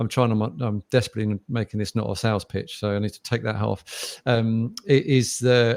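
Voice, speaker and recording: A man with a British accent talks at a moderate pace with hardly any pauses and fairly even intonation. The sound is dry and close, with no echo. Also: medium pitch for a man, big swings in loudness, very clean recording, silent background. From UK. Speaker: podcast host, sales executive. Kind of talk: interview conversation. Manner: hesitant, many fillers.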